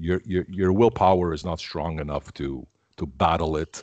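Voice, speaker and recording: Over a quiet background, a man with a very deep, low pitch and vocal fry talks at a moderate pace with fairly even intonation, the sound dry and close with no echo. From Canada, Armenian family. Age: 50s. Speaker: keto advocate. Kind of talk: interview. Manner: halting, many fillers and repeats.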